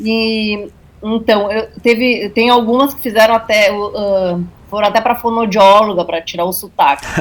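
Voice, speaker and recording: A strong gaúcho accent, a fairly slow pace and fairly even intonation. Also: woman, fairly high pitch for a woman. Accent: thick Alegrete gaúcho. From Brazil, Alegrete, Rio Grande do Sul. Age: 40s. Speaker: journalist and writer. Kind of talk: interview. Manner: halting.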